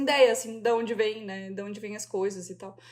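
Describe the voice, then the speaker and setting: This woman's intonation is fairly even. She moves along at a fairly quick speed. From southern Brazil, Joinville, Santa Catarina. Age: 30s. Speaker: illustrator. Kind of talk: podcast interview.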